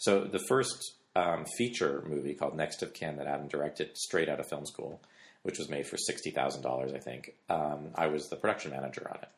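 Vocal fry runs through this fairly quick delivery in a Canadian accent with ordinary pitch variation. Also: man, very deep, low pitch for a man. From Canada. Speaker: film and television director. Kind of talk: casual interview. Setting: at his home.

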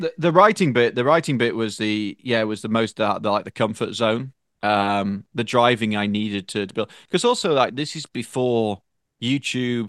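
A man speaks at a moderate pace with an English accent. The background is quiet. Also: medium pitch for a man, ordinary pitch variation, dry, close sound with no echo. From northern England. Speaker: automotive journalist, editor. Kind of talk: casual chat.

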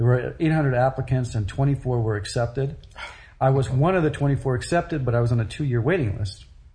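A man with an American accent speaks at a medium pitch in a dark, mellow, somewhat breathy tone, with very even loudness and ordinary pitch variation. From grew up in Europe (Paris, Brussels, Germany), American. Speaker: photographer. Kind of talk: interview.

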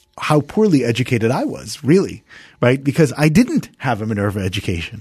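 This man has an American accent and a somewhat breathy voice. He talks at a fairly quick pace with lively intonation. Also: quiet background. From New Jersey. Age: 40s. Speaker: university founder. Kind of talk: interview.

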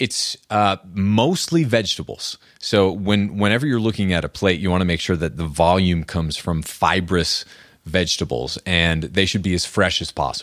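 With an American accent, a man speaks at a very deep, low pitch and a moderate pace, with ordinary pitch variation. The recording is very clean and the background silent. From US Northeast, rural New Hampshire. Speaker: author and health podcaster. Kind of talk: casual interview.

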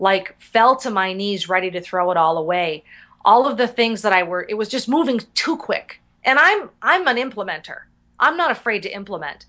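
A woman's fairly high voice comes across energetic, bright and sharp, with lively intonation at a moderate pace over a quiet background. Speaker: professional speaker and business consultant. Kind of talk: interview.

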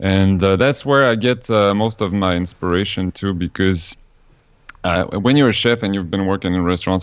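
Fairly quick speech from a man with a fairly low voice, ordinary pitch variation and a Quebec accent. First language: French. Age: 40s. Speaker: vegan chef. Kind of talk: interview. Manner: halting.

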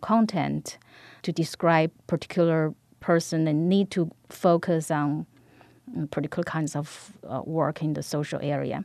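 A woman with a Chinese accent speaks at a moderate pace in a dark, mellow tone and fairly low pitch, with a dry, close sound, no echo and a quiet background. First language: Mandarin Chinese. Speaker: professor. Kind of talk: interview.

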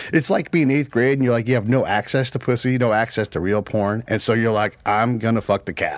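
This man has an ordinary speaking voice. His pitch is medium and his pace fairly quick. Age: 40s. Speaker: former military counterintelligence agent. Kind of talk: casual chat.

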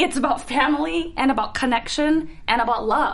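A woman's high voice with lively intonation over noticeable background noise. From Singapore. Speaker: actress. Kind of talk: casual chat. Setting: studio.

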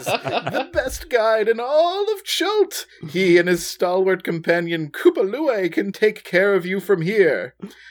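A man puts on a character voice pitched high for a man, with very wide pitch swings. He talks at a fairly slow pace with hardly any pauses. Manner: put-on character voice.

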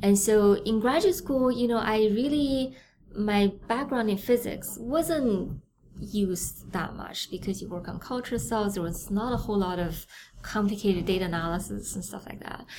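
A woman with a dark, mellow voice at medium pitch speaks at a moderate pace, with ordinary pitch variation and big swings in loudness. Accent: Chinese. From China (Beijing). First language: Mandarin Chinese. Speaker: neuroscientist, professor. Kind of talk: interview.

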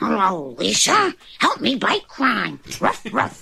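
A woman uses a put-on character voice and speaks at a fairly slow pace. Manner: playful, cartoonish.

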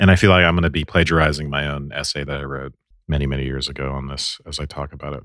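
In a very clean recording with a silent background, a man with a very deep, low voice and vocal fry talks at a very fast pace, his intonation fairly even but his loudness swinging widely. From Ireland. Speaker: podcast co-host, film discussion. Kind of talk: casual scholarly discussion.

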